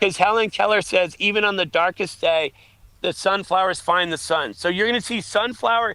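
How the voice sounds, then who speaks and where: A man speaks in a raised, projected voice at a fairly quick pace, his high pitch carrying a bright, sharp tone with ordinary pitch variation. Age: 50s. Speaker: aid station volunteer and race organizer. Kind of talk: casual chat. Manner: animated.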